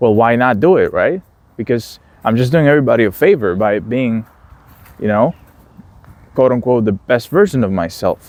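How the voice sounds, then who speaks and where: In a dry, close sound with no echo, a man with a non-native accent speaks with lively intonation. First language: not English. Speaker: philosophy video creator. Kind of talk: casual monologue. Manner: halting, with fillers and restarts.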